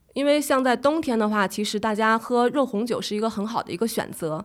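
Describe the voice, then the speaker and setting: In a very clean recording with a silent background, a woman with a normal speaking voice talks at a fairly quick pace, her pitch fairly high and its variation ordinary. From Beijing. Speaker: travel and food blogger. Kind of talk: casual interview.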